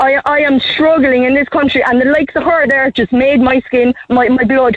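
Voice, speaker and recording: An Irish accent with very even loudness. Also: woman. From Ireland. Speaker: radio phone-in caller. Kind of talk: radio call-in talk.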